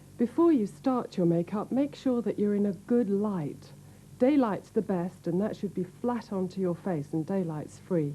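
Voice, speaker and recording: Somewhat breathy and calm, a woman's dark, mellow voice at medium pitch moves at a fairly slow pace with lively intonation. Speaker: professional makeup artist. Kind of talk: instructional makeup tutorial, 1980s retail video narration. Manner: clear, calm, instructional.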